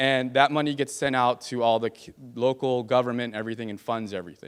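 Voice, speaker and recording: The speaker talks at a fairly quick pace with a Californian accent. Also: man. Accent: Californian American. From California, San Fernando Valley. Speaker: political candidate. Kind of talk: campaign speech. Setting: stage with audience.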